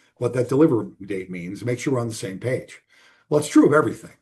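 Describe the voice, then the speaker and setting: A man speaks in a dark, mellow tone that is somewhat breathy. His pitch swings very widely against a quiet background. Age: 60s. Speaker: business owner. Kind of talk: interview. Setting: call. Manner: conversational, emphatic.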